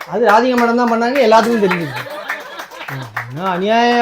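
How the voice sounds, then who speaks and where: A man speaks at an extremely high pitch. Music plays in the background. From Madurai, Tamil Nadu. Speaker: actor and stand-up comedian. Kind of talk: live stand-up comedy set.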